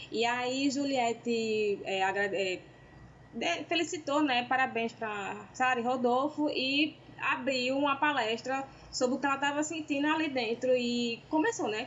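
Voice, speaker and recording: This woman speaks at a fairly slow pace in a high voice with ordinary pitch variation. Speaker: podcast co-host. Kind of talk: casual chat.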